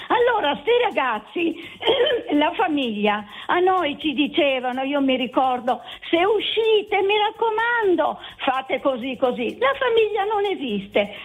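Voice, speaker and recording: Very wide pitch swings mark this fairly slow delivery. Noticeable background noise sits behind it. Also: woman, high pitch for a woman, very even loudness. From Turin, Italy.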